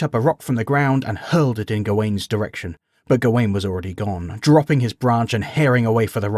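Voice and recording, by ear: Someone reads aloud in a natural voice. Pitch varies in an ordinary way against a quiet background.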